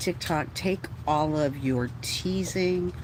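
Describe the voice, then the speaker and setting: A woman with an American accent speaks at a very slow pace. Her voice is somewhat breathy. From Texas. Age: 60s. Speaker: livestreamer. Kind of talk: casual livestream chat. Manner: animated, ranting.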